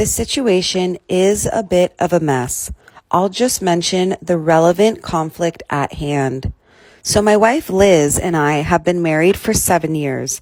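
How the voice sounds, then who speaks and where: Captured in a very clean recording with a silent background, a woman with a fairly low voice speaks at a fairly slow pace with ordinary pitch variation. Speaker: storytime narrator. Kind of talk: reading aloud. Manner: stumbles over words.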